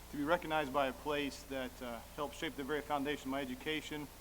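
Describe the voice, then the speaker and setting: With an American accent, a man speaks at a very fast pace amid audible room echo. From southern Illinois. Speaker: radiologist. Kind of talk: award acceptance speech. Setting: stage with audience at dinner.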